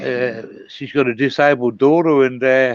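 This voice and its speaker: The speaker uses an Australian accent at a fairly slow pace, with fairly even intonation. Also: man. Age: 60s. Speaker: caller. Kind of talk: casual chat. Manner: halting.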